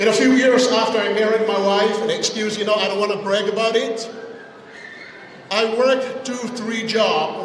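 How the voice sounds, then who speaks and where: A man's high voice, fairly quick and fairly even in intonation, with light background noise and audible room echo. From Tonga. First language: Tongan. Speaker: wedding speaker; speaker. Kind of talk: wedding speech. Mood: personal storytelling. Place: hall. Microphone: podium.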